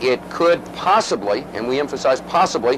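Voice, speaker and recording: A man's voice over noticeable background noise. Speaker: television war correspondent reporting live. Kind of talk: live broadcast news field report. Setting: reporting from the field during air raid sirens. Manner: hesitant, frequent fillers, uncertain but calm.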